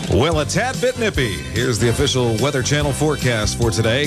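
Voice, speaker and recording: Over loud music in the background, a man talks at a moderate pace. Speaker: radio disc jockey. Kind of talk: radio DJ aircheck patter. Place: studio. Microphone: studio mic.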